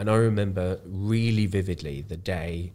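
A man with an English accent speaks in a dark, mellow tone that is somewhat breathy. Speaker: charity worker with cystic fibrosis.

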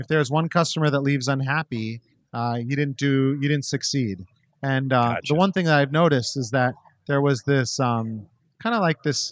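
Recorded very cleanly with a silent background and a dry, close sound with no echo, a man in an unremarkable speaking voice talks at a medium pitch and a moderate pace with ordinary pitch variation. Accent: American. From Minnesota, Minneapolis suburbs. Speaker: chef and restaurateur. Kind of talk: casual interview. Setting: in person at his restaurant.

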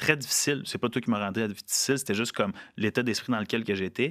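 An unremarkable speaking voice at a fairly quick pace with ordinary pitch variation, in a very clean recording with a silent background. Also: man. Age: 20s. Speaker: podcast host. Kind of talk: casual interview. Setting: studio.

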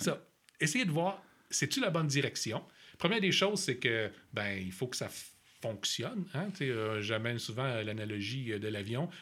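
A man with a Quebec accent, medium pitch and bright, sharp tone, very wide pitch swings, a fairly slow pace and long, frequent pauses, in a very clean recording with a silent background. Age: 40s. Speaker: agile coach. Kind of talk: casual chat.

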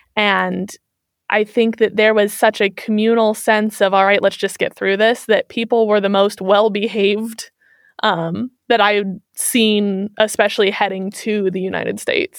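A woman with an American accent speaks at a moderate pace with flat, monotone intonation. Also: medium pitch for a woman. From US Midwest, Kansas City, Missouri. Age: 20s. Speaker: interview guest. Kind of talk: casual interview. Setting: remote call.

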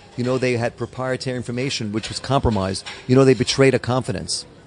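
Talking at a fairly quick pace, a man with a medium-pitched voice comes through over noticeable background noise. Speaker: record label owner. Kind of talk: interview. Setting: hotel.

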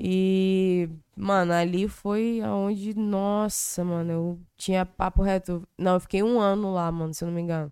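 The tone is dark and mellow, with fairly even intonation. Delivery runs at a fairly slow pace with hardly any pauses. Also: woman, medium pitch for a woman. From Brazil, Espírito Santo (Cariacica). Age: 20s. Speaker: rapper. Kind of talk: casual chat.

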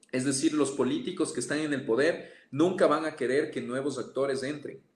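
This man has an unremarkable speaking voice, pitched fairly high. He talks at a fairly quick pace with fairly even intonation. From Ecuador, Amazon region (Pastaza). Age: 30s. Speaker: politician. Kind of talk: interview.

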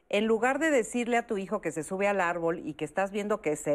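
A woman at medium pitch with lively intonation and a fairly quick pace, against a quiet background. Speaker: TV talk show host. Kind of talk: talk show moderation. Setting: studio.

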